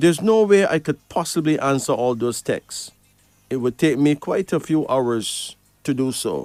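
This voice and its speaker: A plain, everyday voice with lively intonation moves at a moderate pace, recorded dry and close with no echo. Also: man, fairly high pitch for a man. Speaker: radio host and card reader. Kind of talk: radio call-in show. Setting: radio studio.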